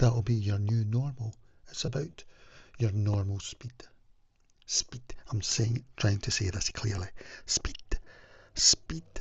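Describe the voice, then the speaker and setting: A man talks at a very slow pace with long, frequent pauses. His somewhat breathy voice has ordinary pitch variation. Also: medium pitch for a man. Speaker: wellness vlogger. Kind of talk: casual talking-head advice video.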